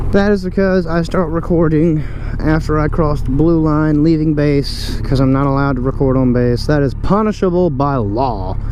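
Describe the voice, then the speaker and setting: With an American accent, a man speaks at a fairly high pitch and very even loudness, with noticeable background noise and audible room echo. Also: ordinary pitch variation. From US. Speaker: motorcycle vlogger, military service member. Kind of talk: casual vlog. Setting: riding a motorcycle outdoors. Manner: fast; animated.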